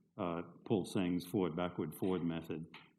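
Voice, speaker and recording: Audible room echo around a man with a very deep, low pitch at a moderate pace. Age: 60s. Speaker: professor. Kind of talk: lecture.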